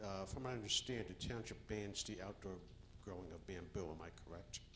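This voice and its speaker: Against noticeable background noise and audible room echo, a man speaks at a fairly quick pace with a fairly low pitch and ordinary pitch variation. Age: 60s. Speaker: public commenter at council meeting. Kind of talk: public comment at council meeting. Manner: halting.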